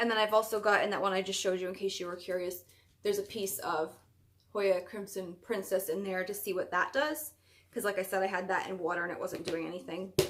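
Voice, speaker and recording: The pace is very fast as a woman speaks. She keeps her intonation fairly even. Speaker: plant YouTuber; plant hobbyist vlogger. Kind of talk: casual vlog show-and-tell. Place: home room. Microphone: webcam.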